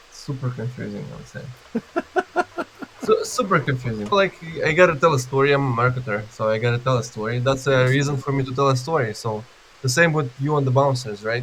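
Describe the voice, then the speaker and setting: A man with a medium pitch and ordinary pitch variation speaks fairly quickly amid noticeable background noise. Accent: non-native. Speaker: B2B marketing expert. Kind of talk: interview. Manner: halting, with restarts.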